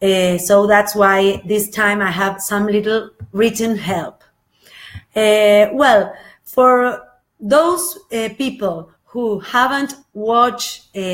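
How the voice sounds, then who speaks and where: A woman with an Argentine accent talks at a very slow pace, leaving long, frequent pauses. Her pitch is fairly high, with ordinary variation. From Argentina, Buenos Aires. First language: Spanish. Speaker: spiritual channel presenter. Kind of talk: live video talk, partly read from notes. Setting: live Facebook video. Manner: halting, many filler sounds.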